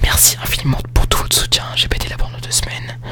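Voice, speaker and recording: A man whispering at a moderate pace over music in the background. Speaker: ASMR YouTuber. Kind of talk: casual talk to camera. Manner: whispered, soft-spoken.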